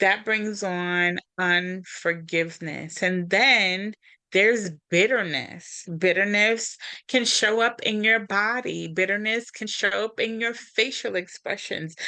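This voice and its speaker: At a very slow pace, a woman with a medium pitch and a bright, sharp tone speaks with ordinary pitch variation against a quiet background. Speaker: podcast co-host and coach. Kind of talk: podcast conversation on healing. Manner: reserved.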